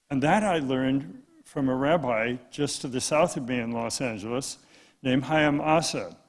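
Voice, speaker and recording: The delivery moves at a moderate pace. Room echo is audible. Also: man, medium pitch for a man, ordinary pitch variation. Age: 80s+. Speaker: law professor and conference speaker. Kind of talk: conference talk. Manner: halting.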